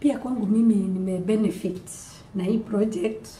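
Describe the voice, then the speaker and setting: A woman speaks at a fairly slow pace with fairly even intonation. Audible room echo and light background noise are present. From Kenya. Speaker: beadwork artisan and teacher; teacher. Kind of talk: testimony. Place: classroom. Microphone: camera far.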